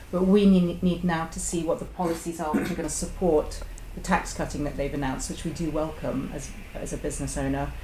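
A woman with a British accent speaks at a fairly quick pace. Audible room echo and light background noise are present. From UK. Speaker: engineer and business owner. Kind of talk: roundtable discussion. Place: shop.

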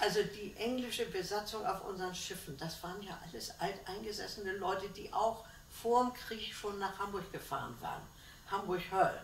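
The loudness swings widely, with audible room echo and light background noise. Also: woman, ordinary pitch variation, moderate pace. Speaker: contemporary witness, former shipping secretary. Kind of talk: interview answer. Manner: lively. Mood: cheerful, smiling reminiscence. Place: home room. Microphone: camera far.

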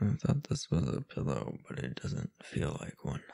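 Putting on a character voice, a man speaks at a moderate pace with an extremely low pitch, a dark, mellow tone, vocal fry and very wide pitch swings.

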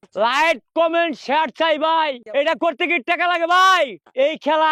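A man speaks in a raised, projected voice with a bright, sharp tone. The sound is dry and close with no echo, over a quiet background. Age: 70s. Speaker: street performer. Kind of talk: casual self-promotion. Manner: animated.

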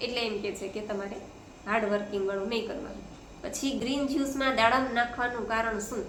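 A woman's fairly high pitch with ordinary variation, amid noticeable background noise and audible room echo. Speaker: family vlogger, mother. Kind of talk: casual vlog and weight-loss tips.

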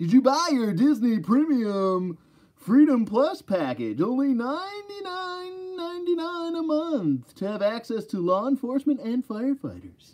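A put-on character voice, fairly high in pitch, with very wide pitch swings. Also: fairly slow pace. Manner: salesman-like announcing.

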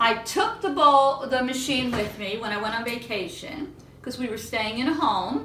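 A woman's high-pitched voice at a moderate pace, with light background noise and audible room echo. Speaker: home baking host. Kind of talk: casual cooking show chat. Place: kitchen. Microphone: camera far.

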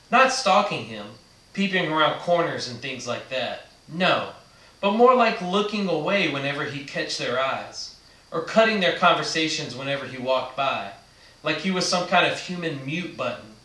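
Amid audible room echo, a man keeps a moderate pace while his loudness swings widely. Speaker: reader of a book. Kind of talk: read-aloud storytelling. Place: studio.

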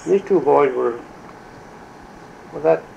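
With an American accent, a man speaks at a fairly slow pace over light background noise. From western New York. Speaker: World War One veteran, ambulance driver. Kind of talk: oral history interview answer. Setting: recorded interview, talking to an interviewer about wartime photos. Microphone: old recording.

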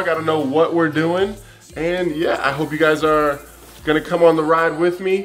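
Faint music plays in the background as a man speaks at a moderate pace in a high pitch with monotone, flat intonation. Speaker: vlogger. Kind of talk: casual vlog chat. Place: home room. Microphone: phone near.

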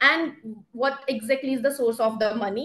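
Speaking at a moderate pace with ordinary pitch variation, a woman is heard against a quiet background. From India. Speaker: government energy policy official; presenter. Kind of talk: webinar presentation. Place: office. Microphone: video call.

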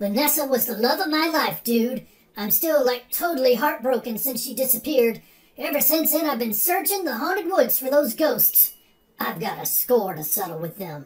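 A man puts on a whiny character voice, extremely high in pitch. He talks at a moderate pace. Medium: comedy sketch. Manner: whiny, indignant, says dude constantly.

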